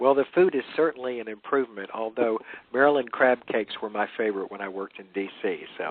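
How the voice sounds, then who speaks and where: Delivered very fast in a Southern US accent, the speech has ordinary pitch variation and big swings in loudness. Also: man, medium pitch for a man. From Louisiana, US South. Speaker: author. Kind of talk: interview. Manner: halting, many fillers.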